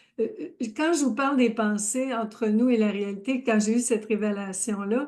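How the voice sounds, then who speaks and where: Over a quiet background, a woman with a Quebec accent speaks at a fairly slow pace. Her voice sits at a fairly high pitch with ordinary pitch variation. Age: 70s. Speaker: life coach. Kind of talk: live stream chat. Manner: warm, effusive.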